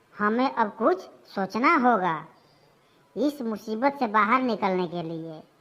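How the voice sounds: In a cartoonish character voice, a woman speaks fairly slowly at a fairly high pitch with very wide pitch swings.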